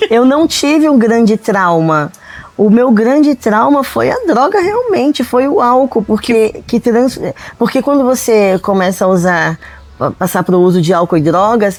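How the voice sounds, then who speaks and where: Against noticeable background noise, the pitch swings very widely while loudness stays very even. The pace is fairly slow. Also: woman, fairly high pitch for a woman. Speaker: guest sharing faith testimony. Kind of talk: testimony.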